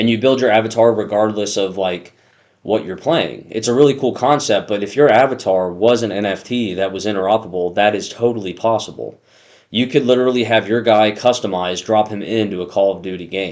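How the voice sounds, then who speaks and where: A man with a plain, everyday voice and fairly low pitch talks at a fairly quick pace, with ordinary pitch variation over a quiet background. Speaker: crypto YouTuber. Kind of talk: casual explainer video.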